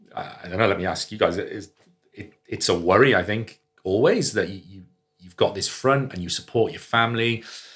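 A man speaks with a Welsh accent. His pitch varies in an ordinary way. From Wales, Cardiff. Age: 30s. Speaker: general practitioner. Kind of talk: casual chat.

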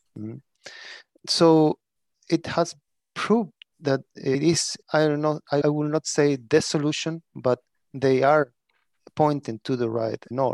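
Speaking very slowly with long, frequent pauses, a man with a Spanish accent keeps fairly even intonation, recorded dry and close with no echo. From Chile. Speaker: prison architecture lecturer and consultant. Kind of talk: interview. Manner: halting.

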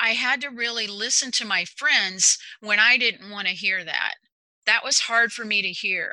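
A woman, using a normal speaking voice, keeps a moderate pace and a fairly high pitch, her pitch variation ordinary. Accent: American. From Texas. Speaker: executive functioning coach. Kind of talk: interview.

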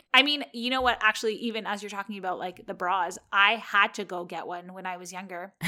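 A woman with a Canadian accent speaks at a fairly quick pace with hardly any pauses, her bright, sharp tone moving through ordinary pitch variation and big swings in loudness. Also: medium pitch for a woman. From Canada. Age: 30s.

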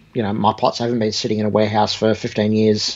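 This man's pitch is fairly low. He talks with an Australian accent. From Australia, Sydney (born in Egypt, emigrated aged eight). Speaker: guitar amp and pedal designer. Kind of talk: casual interview chat. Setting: video call.

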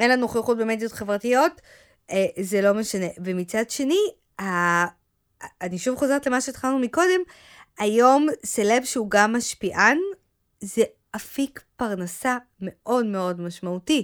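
On a very clean recording with a silent background, a woman with a fairly high pitch and lively intonation speaks at a fairly slow pace, with long, frequent pauses. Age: 40s. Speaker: podcast co-host, marketing manager. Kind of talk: casual chat.

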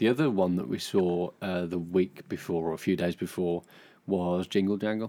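Over a silent background in a very clean recording, a man with a very deep, low pitch and a dark, mellow tone talks at a moderate pace with fairly even intonation. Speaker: podcast co-host. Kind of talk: casual chat between a couple.

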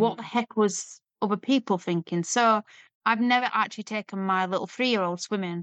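A woman speaks with an English accent at a moderate pace. Her intonation stays fairly even. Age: 40s. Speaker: weight loss story guest and surrogate. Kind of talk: personal testimony interview.

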